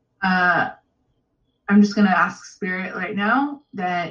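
At a fairly slow pace, a woman talks at medium pitch in a normal speaking voice. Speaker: energy healer giving a reading. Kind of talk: guided breathwork meditation; coaching session and energy reading. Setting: one-on-one coaching call.

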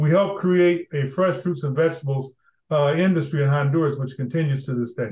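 A man's somewhat breathy voice, fairly high in pitch, with ordinary pitch variation against a quiet background. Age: old. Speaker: former diplomat and development leader. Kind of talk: interview conversation.

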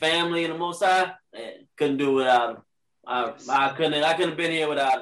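Speaking in an unremarkable speaking voice with an American accent, a man keeps his intonation fairly even at a fairly high pitch. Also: fairly quick pace. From Richmond, Virginia. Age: 30s. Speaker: Crohn's patient, fitness lifestyle advocate. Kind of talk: casual interview.

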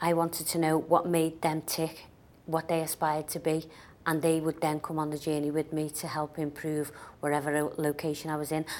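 In a Liverpool accent, a woman speaks with a very deep, low pitch and monotone, flat intonation. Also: moderate pace. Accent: Liverpool (Scouse) English. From Liverpool, England. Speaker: business author. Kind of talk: interview.

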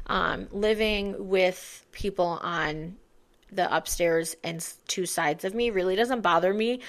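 A woman with a plain, everyday voice speaks at a medium pitch and a fairly slow pace with ordinary pitch variation, in a very clean recording with a silent background. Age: 20s. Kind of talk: casual chat.

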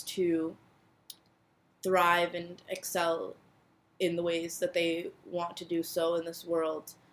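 A woman's voice sits fairly low, with monotone, flat intonation. She speaks at a fairly slow pace. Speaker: podcast host. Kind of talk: heartfelt pep talk, solo podcast monologue. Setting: solo home recording. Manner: warm, earnest, reassuring, with filler words and repeated phrases.

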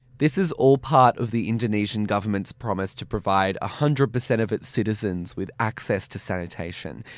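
With an Australian accent, a man speaks at a fairly quick pace with hardly any pauses, a fairly low pitch and ordinary pitch variation, on a very clean recording with a silent background. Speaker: radio show host. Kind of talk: radio presenting. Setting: studio.

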